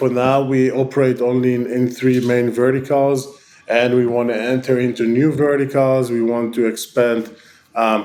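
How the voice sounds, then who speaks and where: A man with an Israeli accent speaks at medium pitch and a moderate pace, with monotone, flat intonation and very even loudness, over noticeable background noise. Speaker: tech company founder and CEO. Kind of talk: interview. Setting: online call. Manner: halting, many fillers.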